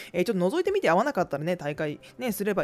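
A woman speaks at a medium pitch. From Tokai region, Japan. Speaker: podcast host, business owner. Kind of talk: solo talk radio monologue.

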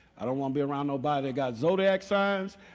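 A man's very fast, animated speech at a fairly high pitch, with ordinary pitch variation and audible room echo. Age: 50s. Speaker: pastor. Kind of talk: sermon. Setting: church.

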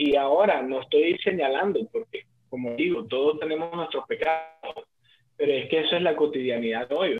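A man talks in a plain, everyday voice at a fairly quick pace. His pitch is fairly high for a man, with ordinary variation. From Colombia, Barranquilla. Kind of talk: casual chat; testimony.

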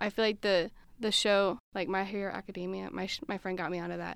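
Fairly quick pace and ordinary pitch variation in an unremarkable speaking voice. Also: woman. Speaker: college student. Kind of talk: casual interview chat.

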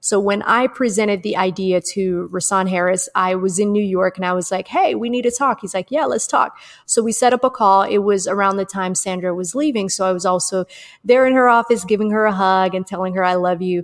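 Here a woman of medium pitch talks at a fairly quick pace with ordinary pitch variation in an unremarkable speaking voice. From Atlanta, US South. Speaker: podcast co-host. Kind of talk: casual chat.

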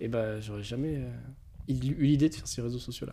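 A man with a dark, mellow tone and ordinary pitch variation at a fairly quick pace, on a very clean recording with a silent background. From France, Touraine. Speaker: social media agency owner. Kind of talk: casual interview. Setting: his agency's office.

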